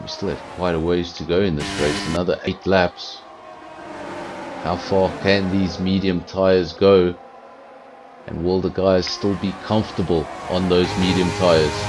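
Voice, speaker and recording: A man's very deep, low voice in monotone, flat intonation, at a fairly slow pace with long, frequent pauses, amid noticeable background noise. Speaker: sim racing commentator. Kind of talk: live commentary. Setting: home streaming setup. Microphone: sound issues, mic and headphones not split.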